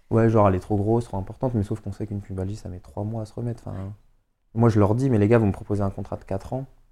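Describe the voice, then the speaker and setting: A man speaks at a very fast pace, his fairly low voice dark and mellow in tone, with big swings in loudness. The recording is very clean, with a silent background. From Paris suburbs, Seine-Saint-Denis. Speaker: professional footballer. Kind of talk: casual chat. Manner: animated.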